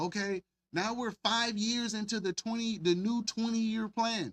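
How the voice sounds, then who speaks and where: A man with an American accent and an animated tone speaks at a fairly slow pace, the sound dry and close with no echo. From US South, Mobile, Alabama. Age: 30s. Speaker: livestream commentary host. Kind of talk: casual livestream commentary. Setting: live stream. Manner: animated, repetitive, stumbling.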